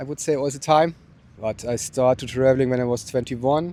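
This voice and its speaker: A man with a German accent, medium pitch and a dark, mellow tone, at a fairly quick pace with ordinary pitch variation. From southern Germany, Bavaria near Austrian border. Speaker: interviewee, traveler. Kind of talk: casual interview. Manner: halting, many fillers.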